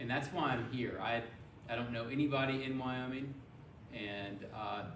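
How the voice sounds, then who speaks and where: A man with an American accent and a medium pitch talks at a fairly quick pace, with audible room echo and noticeable background noise. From US South, Memphis, Tennessee. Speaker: physician. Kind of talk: speech to a club. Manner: monotone.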